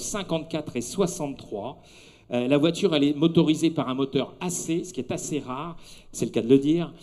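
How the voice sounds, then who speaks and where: This man's voice is fairly high in pitch, with a dark, mellow tone. He talks at a fairly quick pace with ordinary pitch variation. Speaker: event presenter, car show commentator. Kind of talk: live commentary. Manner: animated; speaking softly for the baby.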